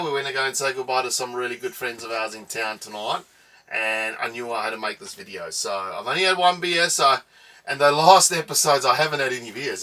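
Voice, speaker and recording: Over noticeable background noise, a man talks very fast in a fairly high voice, his loudness swinging widely. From South Africa, East London (Eastern Cape). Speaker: travel vlogger. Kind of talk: casual chat.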